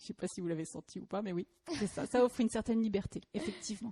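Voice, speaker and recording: A woman speaks at a very fast pace in a somewhat breathy, dark and mellow voice of medium pitch, the sound dry and close with no echo. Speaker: lawyer. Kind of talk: podcast interview. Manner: hesitant, searching for words.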